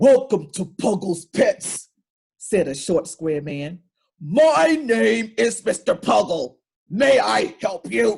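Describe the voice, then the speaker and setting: Someone performs a put-on character voice at a middle pitch. The delivery is very slow. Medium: read story. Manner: welcoming, cheerful.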